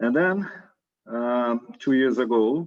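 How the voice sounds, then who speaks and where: Speaking with a strong Brazilian accent, a man talks at a medium pitch. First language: Portuguese. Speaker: science diplomacy researcher, former government science manager. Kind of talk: interview.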